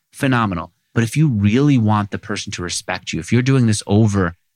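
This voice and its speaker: An unremarkable speaking voice from a man with an American accent and ordinary pitch variation, in a very clean recording with a silent background and a dry, close sound with no echo. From New York City (Queens). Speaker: podcast host and entrepreneur. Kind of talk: interview.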